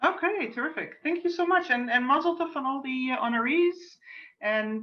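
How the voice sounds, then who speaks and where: With a Dutch accent, a woman talks at a high pitch that swings very widely. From Netherlands, suburb of Amsterdam. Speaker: cantor. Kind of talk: religious service introduction. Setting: video call.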